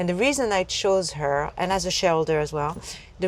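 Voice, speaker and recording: In a French accent, the speaker goes at a fairly quick pace with ordinary pitch variation. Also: woman. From France. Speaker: entrepreneur. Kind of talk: interview conversation. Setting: inside a taxi.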